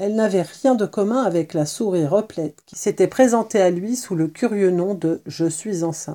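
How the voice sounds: A natural reading voice, with an ordinary range of pitch movement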